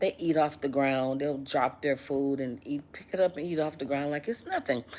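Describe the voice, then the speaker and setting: Her pitch is very deep and low. The woman speaks at a moderate pace. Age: 60s. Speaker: YouTuber. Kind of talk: casual vlog monologue.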